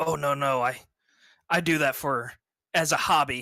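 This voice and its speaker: A put-on character voice at a low-to-middle pitch and moderate pace, on a very clean recording with a silent background. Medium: actual play. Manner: hesitant, stammering.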